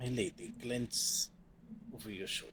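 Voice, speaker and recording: A man's put-on character voice at medium pitch and moderate pace, with clear background noise. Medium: actual play. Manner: formal, courteous.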